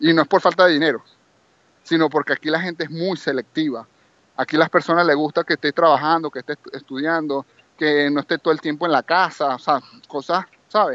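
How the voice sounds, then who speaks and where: Fairly quick and fairly even in intonation, a man talks at a fairly high pitch in an unremarkable speaking voice. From Venezuela, Maracaibo (Zulia). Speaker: property manager, Venezuelan emigrant. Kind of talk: interview.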